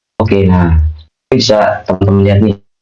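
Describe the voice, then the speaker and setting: A man's fairly low-pitched voice, dark and mellow in tone, at a moderate pace. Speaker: UI/UX design speaker. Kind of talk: online workshop talk. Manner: casual, chatty.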